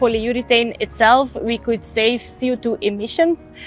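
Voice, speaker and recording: A woman's high-pitched voice at a moderate pace, dry with no echo, faint music in the background. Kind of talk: interview answer. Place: factory.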